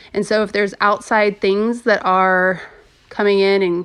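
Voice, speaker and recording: A woman with a normal speaking voice talks at a medium pitch. Her pace is moderate, and the background is quiet. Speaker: podcast host. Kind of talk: casual solo podcast talk.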